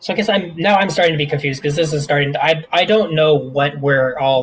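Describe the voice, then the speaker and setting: A man maintains a moderate pace as noticeable background noise plays behind him. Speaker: software developer. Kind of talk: team meeting discussion. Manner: halting, many restarts; loud.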